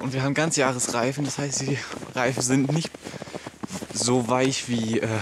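Over noticeable background noise, a man speaks at a fairly slow pace with fairly even intonation, and the sound is dry with no echo. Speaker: travel vlogger. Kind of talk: casual vlog chat. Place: open country. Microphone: phone near.

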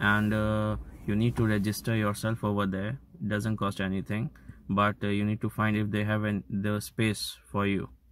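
Over light background noise, a man speaks at a moderate pace and fairly low pitch with monotone, flat intonation and a dry sound with no echo. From India. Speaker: vlogger. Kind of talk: explainer vlog. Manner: halting, many fillers. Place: car. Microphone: phone near.

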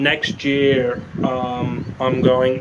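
Over loud background noise, a man with an Australian accent speaks very slowly in a monotone, flat intonation. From Brisbane, Queensland, Australia. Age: 30s. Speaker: vlogger sharing a health story. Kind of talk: casual vlog talk to camera. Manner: hesitant, casual. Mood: reflective, a little weary. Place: open country. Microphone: phone near.

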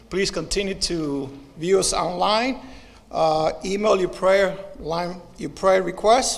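A man's high voice with ordinary pitch variation. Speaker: announcer. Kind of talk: announcements. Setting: church. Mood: warm, lightly joking. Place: church. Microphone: podium.

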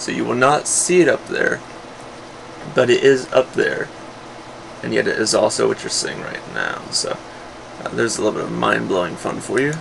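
Noticeable background noise under a man's fairly quick delivery. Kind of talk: casual tutorial talk. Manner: hesitant, many filler sounds.

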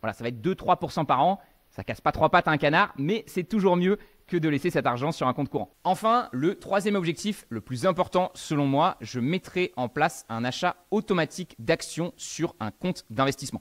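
A man with lively intonation at a moderate pace, against a quiet background. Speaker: finance educator. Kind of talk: tutorial. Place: home room. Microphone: studio mic.

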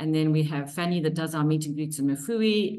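Against a quiet background, a woman with a fairly low pitch talks in a plain, everyday voice with lively intonation. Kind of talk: webinar presentation. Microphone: video call.

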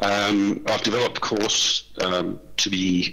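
With an Australian accent, a man speaks very slowly against noticeable background noise. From Western Australia. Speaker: vocational lecturer. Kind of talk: conference workshop presentation.

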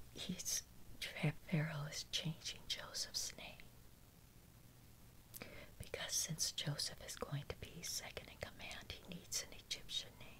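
A woman whispering at a fairly slow pace, with long, frequent pauses and big swings in loudness. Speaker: Bible reader. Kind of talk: Bible reading with commentary. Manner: soft-spoken. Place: home room.

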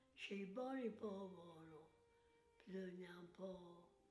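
A woman speaks at a fairly slow pace with a medium pitch. Noticeable background noise can be heard. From Tuscany, Italy. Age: 80s+. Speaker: centenarian. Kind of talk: interview answer.

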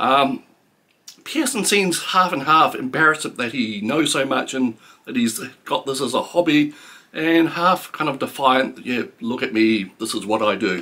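In a New Zealand accent, a man with a fairly high pitch talks at a fairly slow pace, his tone bright and sharp and his intonation lively. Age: 50s. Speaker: book reviewer. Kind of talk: book review monologue. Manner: halting, many fillers. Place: home room.

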